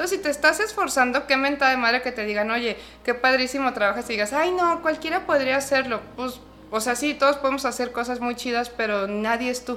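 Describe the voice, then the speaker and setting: A woman's high, raised and projected voice with a Mexican accent at a fairly quick pace, with noticeable background noise. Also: ordinary pitch variation. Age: 30s. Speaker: clinical psychologist. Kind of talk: interview. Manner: animated.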